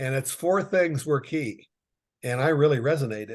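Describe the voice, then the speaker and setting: Somewhat breathy, a man speaks at a medium pitch with ordinary pitch variation. The background is quiet. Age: 60s. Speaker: business consultant. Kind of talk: casual chat.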